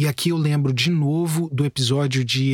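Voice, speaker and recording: Somewhat breathy speech comes at a moderate pace, with a dry, close sound with no echo and a very clean recording, silent background. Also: man. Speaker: podcast host and journalist. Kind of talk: scripted narration.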